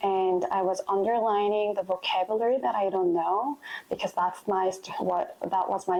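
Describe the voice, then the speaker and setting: With a Korean accent, a woman speaks at a moderate pace and medium pitch over noticeable background noise. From South Korea. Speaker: interviewee sharing immigration experience. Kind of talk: interview testimony.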